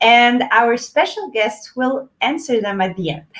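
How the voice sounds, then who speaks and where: Speaking with a strong French accent, a woman talks fairly slowly at a fairly high pitch with ordinary pitch variation. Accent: heavy French. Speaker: event host, boutique co-founder. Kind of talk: live online event introduction. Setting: livestream.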